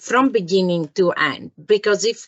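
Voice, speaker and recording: A woman with a Greek accent talks at a medium pitch. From Greece. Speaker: engineering product manager. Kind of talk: interview. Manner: enthusiastic.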